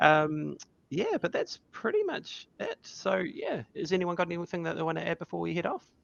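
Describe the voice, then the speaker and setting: A man talks at a moderate pace with a New Zealand accent. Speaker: podcast co-host. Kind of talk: casual chat. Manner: animated.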